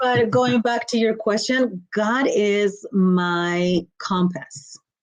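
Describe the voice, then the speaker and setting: A woman speaks very slowly with a Mexican accent, her medium-pitched voice moving in a lively way while her loudness stays very even. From Mexico, Guanajuato. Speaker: motivational speaker and coach. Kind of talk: podcast interview.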